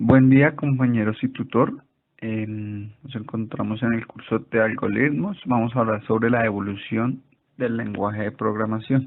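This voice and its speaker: Here a man has a normal speaking voice at a medium pitch. He talks at a fairly slow pace with fairly even intonation. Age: 30s. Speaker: student. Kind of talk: class presentation.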